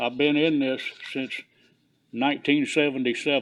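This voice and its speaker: A man speaks with a Southern US accent. His pace is fairly slow and his intonation fairly even. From US South, Clewiston, Florida. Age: 70s. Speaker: commercial fisherman, veteran. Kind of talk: public comment at commission meeting.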